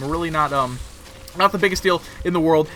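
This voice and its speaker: A man's fairly high-pitched voice with music in the background. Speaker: video game commentator. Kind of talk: live commentary. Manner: fast; animated.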